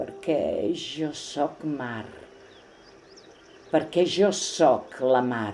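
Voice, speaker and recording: With long, frequent pauses, a woman speaks at a very slow pace in a calm tone and a very deep, low pitch, her intonation lively over noticeable background noise. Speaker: poetry reciter. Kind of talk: reading aloud.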